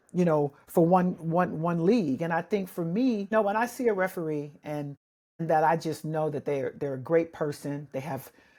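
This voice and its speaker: On a very clean recording with a silent background, a woman speaks at a moderate pace. Her voice is fairly low with a dark, mellow tone and ordinary pitch variation. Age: 60s. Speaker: basketball referee supervisor and podcast host. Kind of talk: casual interview chat.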